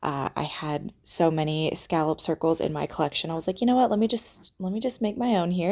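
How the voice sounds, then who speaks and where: A woman speaks quietly and fairly quickly, with a dark, mellow tone and a fairly low pitch. The recording is very clean, with a silent background. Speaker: planner YouTuber. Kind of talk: casual chat. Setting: visiting relatives' home.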